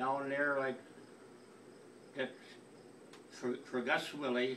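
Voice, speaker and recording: A man speaks at a fairly slow pace in a medium pitch, his intonation monotone and flat. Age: 80s+. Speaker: family elder sending a message. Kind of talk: recorded personal message. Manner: halting, many repetitions.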